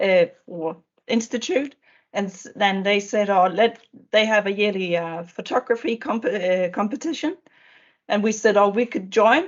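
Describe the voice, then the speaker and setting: At a moderate pace, a woman with a Danish accent talks at medium pitch with ordinary pitch variation. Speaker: education official. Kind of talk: panel discussion. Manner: halting.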